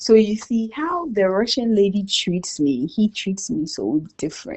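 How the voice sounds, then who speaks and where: A woman with a Ghanaian accent, medium pitch, very wide pitch swings, an animated tone and a fairly slow pace. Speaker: immigrant businesswoman. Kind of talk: casual interview chat.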